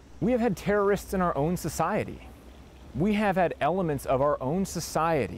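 A man with an American accent speaks at a fairly slow pace. The sound is dry with no echo, over light background noise. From Wisconsin, US Midwest. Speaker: war veteran. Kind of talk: interview. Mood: earnest, firm conviction. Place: garden. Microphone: lapel.

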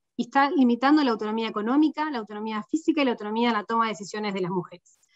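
With a Rioplatense accent, a woman talks at a very fast pace with lively intonation, in a dry sound with no echo and a quiet background. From Uruguay. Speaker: UN regional economist; panelist. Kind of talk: panel discussion. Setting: video call. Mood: serious, concerned. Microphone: video call.

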